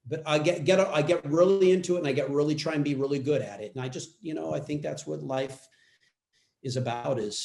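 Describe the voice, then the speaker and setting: With an American accent, a man speaks at a moderate pace in a somewhat breathy voice. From US West Coast, Los Angeles area. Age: 60s. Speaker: actor. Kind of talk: interview.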